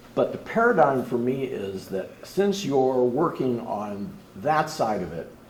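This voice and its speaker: Speaking at a fairly slow pace, a man with a medium pitch makes very wide pitch swings, and audible room echo surrounds his voice. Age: 70s. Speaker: audience member. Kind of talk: public Q&A comment.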